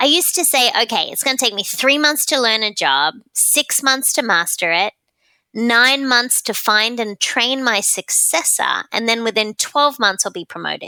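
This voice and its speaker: On a very clean recording with a silent background and a dry, close sound with no echo, a woman with an Australian accent speaks at a moderate pace in a bright, sharp, animated tone, her fairly high pitch carrying lively intonation. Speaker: client experience expert and author. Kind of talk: podcast interview.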